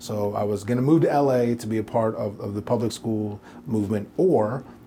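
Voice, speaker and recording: A man with a fairly low pitch and an American accent, over noticeable background noise. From Portland, Oregon. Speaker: private school head. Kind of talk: interview.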